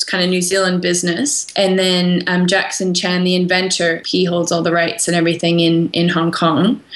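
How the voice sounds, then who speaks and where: Against noticeable background noise, the speaker keeps a moderate pace with hardly any pauses, very even loudness and fairly even intonation. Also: woman, fairly low pitch for a woman. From Canada. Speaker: small business founder. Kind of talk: interview.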